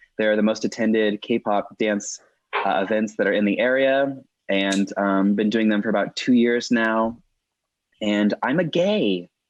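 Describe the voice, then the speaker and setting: A man talks at a fairly slow pace with a fairly low pitch. He has an unremarkable speaking voice and very even loudness. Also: ordinary pitch variation. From Austin, Texas. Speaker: K-pop event host. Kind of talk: casual podcast chat.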